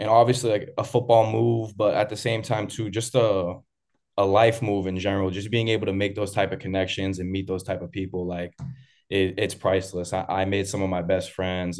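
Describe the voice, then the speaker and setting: Against a quiet background, a man with an American accent speaks fairly quickly at a fairly low pitch, his intonation fairly even. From Massachusetts, Boston area. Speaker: college football player. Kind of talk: casual interview. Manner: confident.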